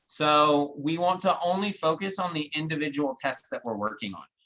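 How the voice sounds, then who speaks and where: Loud and with a very deep, low pitch, a woman talks at a fairly quick pace. Her tone is bright and sharp, her intonation lively. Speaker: guest lecturer. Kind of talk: lecture.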